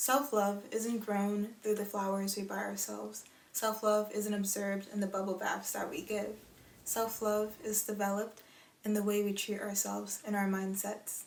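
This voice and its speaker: Over noticeable background noise, a woman speaks at a moderate pace in a medium pitch with monotone, flat intonation. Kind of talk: casual talk to camera.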